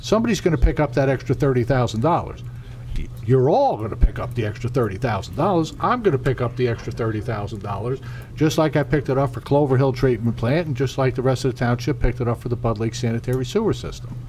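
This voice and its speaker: Talking at a very fast pace, a man uses a medium pitch with ordinary pitch variation. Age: 60s. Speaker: township council member. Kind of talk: public meeting remarks. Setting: township council meeting.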